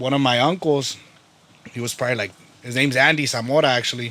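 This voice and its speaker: Against noticeable background noise, a man with an American accent talks at a medium pitch with fairly even intonation. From Salinas, California. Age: 20s. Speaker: barber. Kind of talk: casual interview chat.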